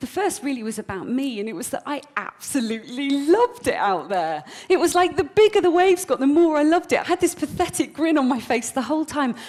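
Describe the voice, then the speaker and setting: Over noticeable background noise, a woman talks at a very fast pace with hardly any pauses, her high voice making very wide pitch swings. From Britain. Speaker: motivational speaker. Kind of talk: keynote speech to live audience.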